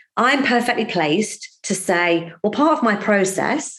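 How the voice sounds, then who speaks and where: With an ordinary speaking voice, a woman talks at medium pitch and a moderate pace, with lively intonation. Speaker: financial services trainer. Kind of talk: podcast interview.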